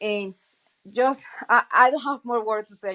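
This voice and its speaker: Fairly high in pitch, a woman with a Colombian accent talks at a fairly slow pace with fairly even intonation. The sound is dry and close, with no echo. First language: Spanish. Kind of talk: testimony. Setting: online audio chat room. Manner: halting.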